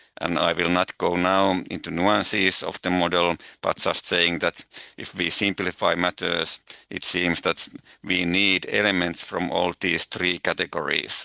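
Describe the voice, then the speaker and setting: Very deep, low pitch from a man with a Finnish accent, monotone, flat intonation and a fairly slow pace, in a dry, close sound with no echo. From Finland. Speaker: eco-anxiety researcher. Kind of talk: webinar talk. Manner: halting.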